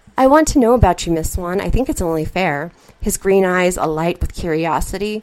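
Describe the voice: What you hear is plain reading aloud.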